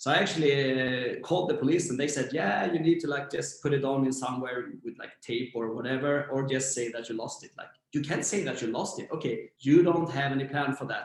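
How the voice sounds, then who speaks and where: Speaking at a moderate pace with a Swedish accent, a man uses a fairly high pitch and ordinary pitch variation. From Sweden, Växjö. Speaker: startup founder. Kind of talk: interview.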